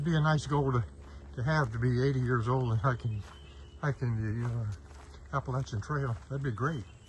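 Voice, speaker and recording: A man's somewhat breathy, medium-pitched voice with lively intonation at a moderate pace. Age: 70s. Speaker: senior hiker vlogger. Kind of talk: casual vlog narration while hiking. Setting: outdoors on a trail. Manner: halting, many fillers.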